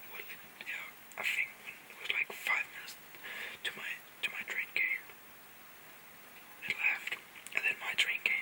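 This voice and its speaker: A woman whispering at a moderate pace, with big swings in loudness, long, frequent pauses and noticeable background noise. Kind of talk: casual whispered chat to camera. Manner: whispered.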